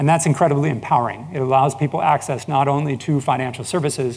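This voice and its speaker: At a very fast pace, a man speaks in a medium pitch with an American accent. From United States. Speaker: business founder and industry analyst. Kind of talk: conference presentation.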